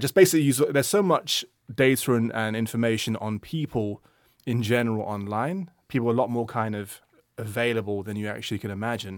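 On a very clean recording with a silent background, a man speaks with a London accent. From London, England. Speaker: music industry product manager. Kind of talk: casual interview chat. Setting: studio.

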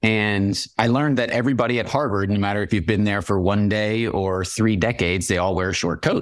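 A man talks in a normal speaking voice with an American accent. His pace is fairly quick, with hardly any pauses, very even loudness and fairly even intonation. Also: fairly low pitch for a man. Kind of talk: interview. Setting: video call.

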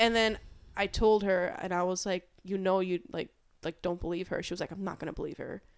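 Speaking at a fairly quick pace, a woman uses an ordinary speaking voice at a medium pitch with fairly even intonation, in an American accent. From New York City, Queens. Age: 20s. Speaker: podcast guest. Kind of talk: casual chat.

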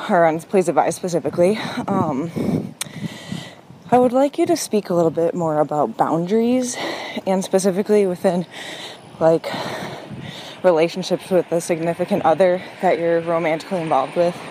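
With noticeable background noise behind her, a woman speaks at a fairly quick pace in a fairly low pitch, with ordinary pitch variation, very even loudness, and long, frequent pauses. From Minnesota, Minneapolis. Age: 20s. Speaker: caller. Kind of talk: voicemail.

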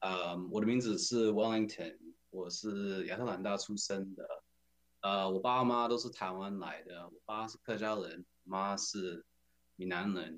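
A man with an American accent has an unremarkable speaking voice, pitched fairly low. He talks at a moderate pace with fairly even intonation. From US South, Atlanta, Georgia. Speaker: community organization leader. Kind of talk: casual interview.

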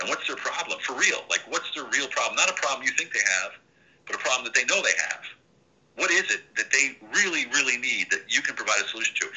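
A very fast delivery with an American accent over noticeable background noise. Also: man. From Central Pennsylvania. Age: 50s. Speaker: army veteran and business consultant. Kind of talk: interview.

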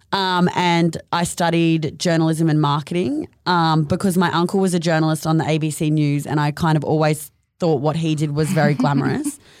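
In an Australian accent, a woman with a very deep, low pitch talks with fairly even intonation. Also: moderate pace, very even loudness. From North Queensland, Australia (Mission Beach). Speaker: fashion label co-founder. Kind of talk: casual chat.

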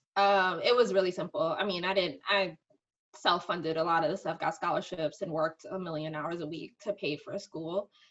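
A woman with a slight New York accent speaks at a fairly quick pace in a fairly low voice with ordinary pitch variation. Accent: New York, slight, polished diction. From Bronx, New York. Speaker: marketing executive. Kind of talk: casual interview chat. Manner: articulate, conversational.

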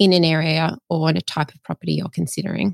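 With an Australian accent, the voice comes through dry and close with no echo on a very clean recording against a silent background. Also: woman. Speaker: buyer's agent. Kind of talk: interview.

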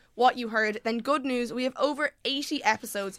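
A woman speaks at a fairly quick pace in a high pitch, with a bright, sharp tone and an animated delivery. The recording is very clean, with a silent background and a dry, close sound with no echo. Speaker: podcast co-host. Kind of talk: scripted intro then casual chat. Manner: animated, chatty.

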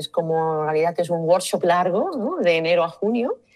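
A woman with a plain, everyday voice, fairly low in pitch, at a fairly quick pace with ordinary pitch variation. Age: 50s. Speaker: type designer. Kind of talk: interview.

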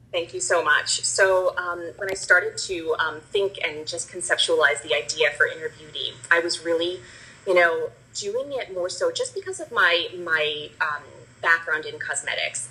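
A woman with an American accent talks at a moderate pace. There is noticeable background noise. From New Jersey. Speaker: cosmetics brand founder. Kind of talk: interview, personal story.

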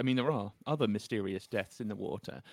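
Lively intonation marks a man speaking with a northern English accent. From northern England. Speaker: journalist and author. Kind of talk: interview.

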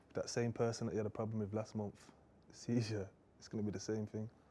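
This man has a dark, mellow tone and a fairly low pitch. He talks at a fairly quick pace in a monotone, flat intonation. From Birmingham, Handsworth. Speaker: rapper. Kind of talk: casual interview chat.

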